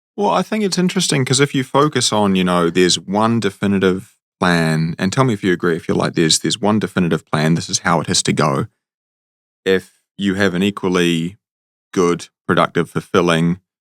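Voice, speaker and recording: A man with a New Zealand accent, very deep and low in pitch, with ordinary pitch variation, a fairly quick pace, very even loudness and a dry, close sound with no echo. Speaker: comedian, podcast host. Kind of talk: podcast interview question.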